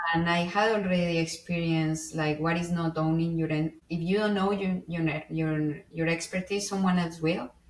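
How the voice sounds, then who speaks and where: A woman's fairly low voice at a moderate pace, with hardly any pauses, very even loudness and fairly even intonation, over noticeable background noise. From Colombia. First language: Spanish. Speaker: IT engineer. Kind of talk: interview conversation. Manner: expressive inflections.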